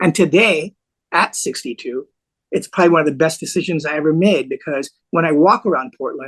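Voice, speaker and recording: A man with an American accent and an unremarkable speaking voice, fairly high-pitched, at a fairly quick pace with ordinary pitch variation, in a dry, close sound with no echo. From US (New York, LA, Bay Area). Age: 60s. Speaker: lawyer and former nightclub owner. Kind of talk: podcast interview.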